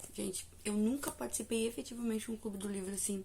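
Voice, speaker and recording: Speaking very fast, a woman uses a medium pitch with ordinary pitch variation. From Brazil. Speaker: book reviewer and devotional youtuber. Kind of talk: casual vlog review.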